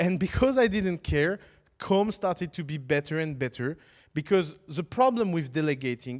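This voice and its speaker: In a very clean recording with a silent background, a man with a non-native accent talks in a fairly high pitch with lively intonation. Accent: foreign. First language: French. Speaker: startup teacher. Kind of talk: lecture. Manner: halting.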